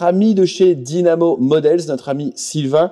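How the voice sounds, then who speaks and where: A man with a high pitch and a dark, mellow tone speaks with ordinary pitch variation. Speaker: scale model reviewer. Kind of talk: product review. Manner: hesitant, many fillers.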